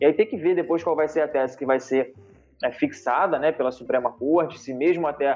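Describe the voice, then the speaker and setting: A man's ordinary speaking voice, fairly high in pitch, at a fairly quick pace. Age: 30s. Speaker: lawyer. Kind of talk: interview.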